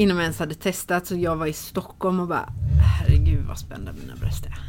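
A woman's loudness swings widely as she talks at a moderate speed. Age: 30s. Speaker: shop owner. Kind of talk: casual interview. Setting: in a shop.

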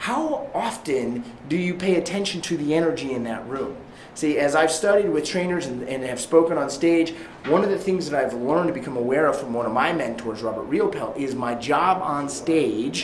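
A man with fairly high pitch speaks at a moderate pace with lively intonation. Room echo is audible, and background noise is noticeable. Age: 30s. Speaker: real estate agent and sales coach. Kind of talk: motivational training talk. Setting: live stream to an online group. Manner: animated.

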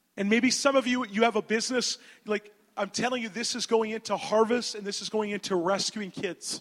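Animated and energetic, a man speaks at a moderate pace. His pitch is high. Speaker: preacher. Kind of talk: sermon delivered in English with audience call-and-response, pausing for the interpreter. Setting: church or conference hall with audience. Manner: animated, energetic, exhortative.

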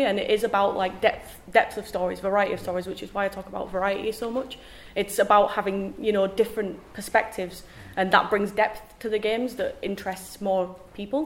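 A woman talks at a medium pitch and a fairly quick pace, with fairly even intonation. She has a plain, everyday voice. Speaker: game producer. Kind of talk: panel discussion.

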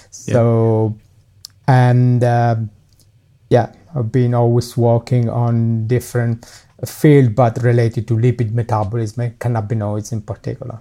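With music in the background, a man speaks in an Italian accent at a fairly slow pace, his intonation monotone and flat. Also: medium pitch for a man. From Italy. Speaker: professor and cancer researcher. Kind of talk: casual interview.

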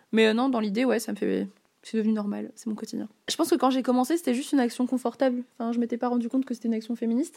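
A woman speaks at a very fast pace with a high pitch and a dark, mellow tone. Her intonation stays fairly even. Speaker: interviewee. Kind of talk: interview.

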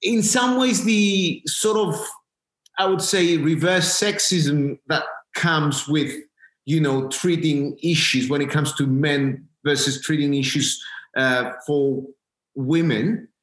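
The delivery comes at a very slow pace with lively intonation. Loudness stays very even throughout. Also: man, fairly high pitch for a man. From Cyprus. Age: young. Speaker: entrepreneur, health company director. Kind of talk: interview. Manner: halting, many fillers.

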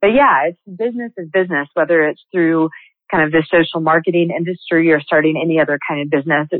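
An unremarkable speaking voice, this woman talks at a fairly low pitch with ordinary pitch variation. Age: 30s. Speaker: multi-level marketing entrepreneur. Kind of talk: interview.

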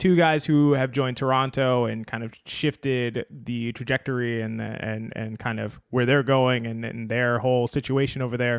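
A man's voice at a medium pitch. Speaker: podcast host. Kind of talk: casual sports podcast chat.

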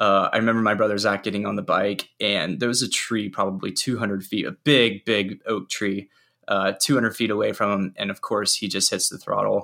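This man's fairly low voice has a bright, sharp tone and fairly even intonation. He moves at a fairly quick pace with hardly any pauses. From US South, Charlotte, North Carolina. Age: 30s. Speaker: motorcycle parts business owner. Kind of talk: casual interview. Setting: friend's studio, remote call.

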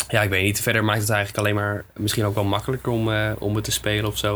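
Talking at a very fast pace, a man uses a fairly low voice. His intonation is monotone and flat. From Netherlands, Groningen area. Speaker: musician. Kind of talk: casual interview.

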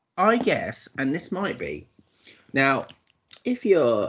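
This is a man speaking. His pace is very slow. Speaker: film podcast co-host. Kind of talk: scripted intro reading; casual chat. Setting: remote recording over the internet. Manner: pauses mid-word.

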